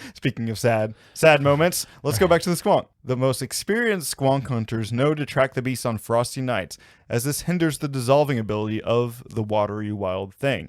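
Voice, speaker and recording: A man speaks at a fairly quick pace in an ordinary speaking voice, with medium pitch and lively intonation. The recording is very clean, with a silent background. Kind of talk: folklore podcast narration.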